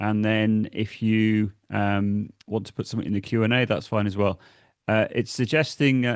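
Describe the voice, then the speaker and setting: A man with a British accent speaks at a fairly low pitch and a moderate pace. His loudness stays very even, and his intonation is fairly even. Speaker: education technology consultant, former teacher. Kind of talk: webinar presentation. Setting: online webinar. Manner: friendly, with many filler words.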